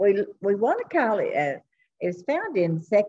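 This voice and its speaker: A woman's dark, mellow voice at a fairly slow pace over light background noise. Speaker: Sunday school teacher. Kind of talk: Bible lesson teaching. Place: hall. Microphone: webcam.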